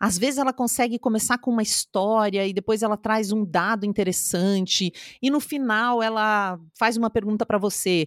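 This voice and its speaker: This woman has an ordinary speaking voice, fairly high in pitch, and speaks at a moderate pace. The recording is very clean and dry, with a silent background and a close sound with no echo. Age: 30s. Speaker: communication and public speaking coach. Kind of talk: interview.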